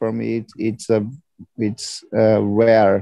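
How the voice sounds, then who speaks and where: With a Brazilian accent, this man talks at a very slow pace in a dark, mellow tone, the sound dry and close with no echo. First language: Portuguese. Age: 20s. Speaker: product manager. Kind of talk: group English conversation practice.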